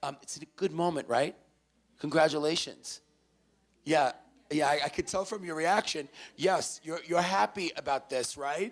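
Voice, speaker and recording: A man with a New York accent and a fairly high pitch, with ordinary pitch variation, a moderate pace and long, frequent pauses. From New York City, the Bronx. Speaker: motivational speaker. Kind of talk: speech to live audience. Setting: stage with audience. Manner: loud; energetic.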